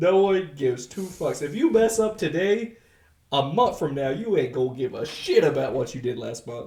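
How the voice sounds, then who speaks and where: This man speaks at a moderate pace in a high pitch. His pitch swings very widely and his loudness swings a lot. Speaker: podcast co-host. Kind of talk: casual chat.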